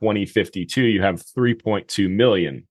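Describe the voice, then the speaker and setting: In a plain, everyday voice with an American accent, a man speaks at a fairly low pitch with fairly even intonation. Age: 30s. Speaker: real estate investing podcast host. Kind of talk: solo monologue podcast.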